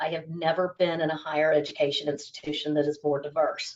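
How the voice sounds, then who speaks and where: A woman with an American accent speaks at a fairly quick pace. She has a normal speaking voice, fairly low in pitch. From United States. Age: 40s. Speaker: business school staff member. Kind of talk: interview. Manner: many fillers (um, you know).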